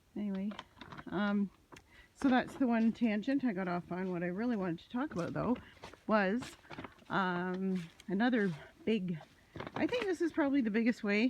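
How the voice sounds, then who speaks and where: Amid noticeable background noise, a woman talks at a moderate pace with lively intonation. She leaves long, frequent pauses. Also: medium pitch for a woman, big swings in loudness. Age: 60s. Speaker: vlogger. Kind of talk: casual monologue. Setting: outdoors on a walk. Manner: hesitant, many fillers.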